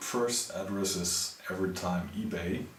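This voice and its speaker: A man talks at a very slow pace with a German accent. Room echo is audible and background noise is noticeable. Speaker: machinist and YouTuber. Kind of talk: Q&A video answering viewer questions. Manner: halting, many fillers and restarts; casual.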